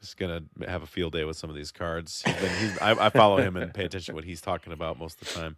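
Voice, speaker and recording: A man talks at a very fast pace with a slight Midwestern accent. The sound is dry and close, with no echo. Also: very clean recording, silent background. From US Midwest. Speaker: podcast host. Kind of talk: casual podcast discussion.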